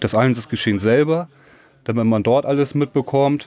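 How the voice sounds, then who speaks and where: A man is talking. His pitch moves in an ordinary way. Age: 30s. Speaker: volunteer firefighter, group leader. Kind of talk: interview, explaining equipment.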